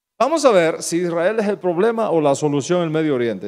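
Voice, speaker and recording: Animated and at a moderate pace, a man with a high voice speaks with a Cuban accent. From Cuba, Santa Clara. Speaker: pastor. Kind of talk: sermon.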